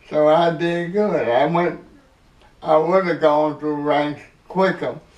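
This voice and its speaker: At a very slow pace, a man speaks in a fairly high voice with ordinary pitch variation. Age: 80s+. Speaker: army veteran, hurricane survivor. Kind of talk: interview answer.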